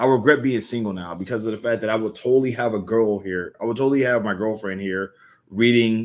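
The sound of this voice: Ordinary pitch variation shows in an unforced reading voice.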